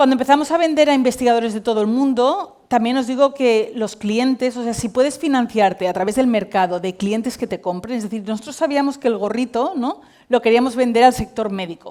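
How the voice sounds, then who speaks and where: A fairly quick pace with hardly any pauses and ordinary pitch variation. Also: woman, high pitch for a woman. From Spain, Valencia. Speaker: tech company CEO and cofounder. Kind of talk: conference talk.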